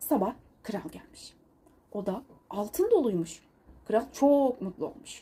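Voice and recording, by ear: The voice has a dark, mellow tone with a slightly husky edge. It moves at a fairly slow pace with big pitch swings. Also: woman, medium pitch for a woman.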